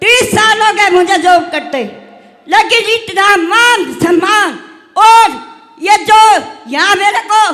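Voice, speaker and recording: With a raised, projected voice, a woman speaks at an extremely high pitch with ordinary pitch variation and a bright, sharp tone. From Gurgaon, Haryana, India. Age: 60s. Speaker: anganwadi worker, seminar participant. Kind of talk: testimony.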